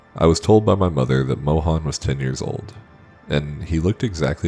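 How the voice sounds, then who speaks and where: A man's very deep, low voice at a fairly quick pace, with ordinary pitch variation and music in the background. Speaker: horror story narrator. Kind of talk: horror story narration.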